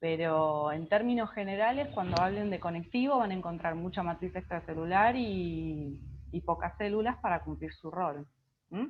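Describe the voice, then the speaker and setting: A woman with a plain, everyday voice, fairly low in pitch, lively in intonation, at a moderate pace. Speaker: biology tutor. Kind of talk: online class.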